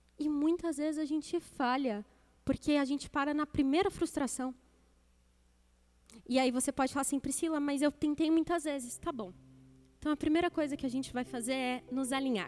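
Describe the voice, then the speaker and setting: Animated in tone, a woman speaks at a high pitch with ordinary pitch variation and long, frequent pauses. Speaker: deaconess preaching. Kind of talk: sermon. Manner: fast.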